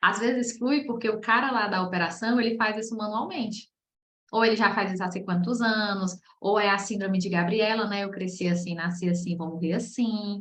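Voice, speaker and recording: A woman talks at a moderate pace with an ordinary speaking voice. Her pitch is medium and her intonation fairly even. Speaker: process management specialist teaching a masterclass. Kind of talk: online lecture. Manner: casual, conversational.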